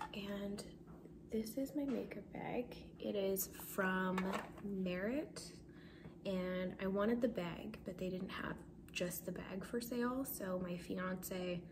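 Speaking very slowly at a medium pitch with ordinary pitch variation, a woman is heard over noticeable background noise. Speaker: ASMR content creator. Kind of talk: casual soft-spoken talk to camera. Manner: soft-spoken, relaxed. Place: kitchen. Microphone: phone near.

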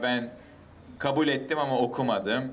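This is a man's voice. He speaks in a monotone, with flat intonation. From United States and Canada. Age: 50s. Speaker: testimony speaker. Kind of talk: personal testimony to an outdoor audience. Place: street. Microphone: handheld.

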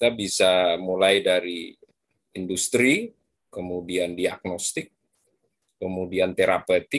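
At a very slow pace with long, frequent pauses, a man speaks at a very deep, low pitch with fairly even intonation, in a dry sound with no echo and a quiet background. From Madura, East Java, Indonesia; East Java, Indonesia. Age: 40s. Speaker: biology professor; lecturer guest speaker. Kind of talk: lecture. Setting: video call. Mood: relaxed, friendly. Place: home room. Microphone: video call.

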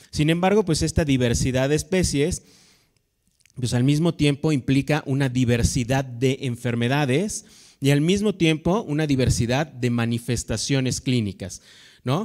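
In an ordinary speaking voice, a man talks at a fairly slow pace with a fairly high pitch, ordinary pitch variation and very even loudness over a quiet background. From Mexico. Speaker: veterinary professor. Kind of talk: lecture. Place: hall. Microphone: handheld.

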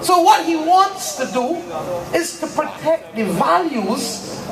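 Noticeable background noise sits behind a woman as she speaks. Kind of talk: political rally speech. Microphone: pa.

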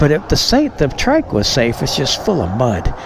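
The recording has a dry sound with no echo but noticeable background noise. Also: man. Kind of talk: casual vlog chat. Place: street. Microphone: phone near.

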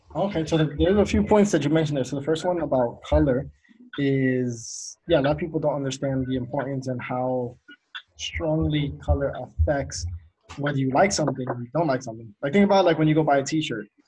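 An ordinary speaking voice from a man with a fairly high pitch and ordinary pitch variation over a quiet background. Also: fairly quick pace. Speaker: podcast host. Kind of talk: casual chat. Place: home room. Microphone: video call.

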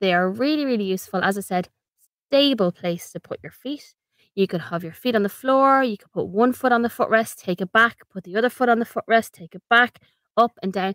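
Speaking at a fairly quick pace with an Irish accent, a woman uses a fairly high pitch and ordinary pitch variation, with big swings in loudness in a dry, close sound with no echo. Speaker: ergonomics consultant and podcast host. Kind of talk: informative podcast monologue. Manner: conversational, practical, friendly.

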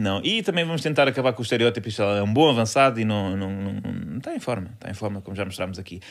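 Speech comes at a very fast pace with ordinary pitch variation. The loudness swings widely. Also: man, fairly low pitch for a man. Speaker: comedy podcast co-host. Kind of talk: casual chat.

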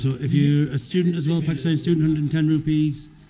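Noticeable background noise sits under this recording. A man talks at a very fast pace. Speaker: travel vlogger. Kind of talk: casual vlog chat. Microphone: phone near.

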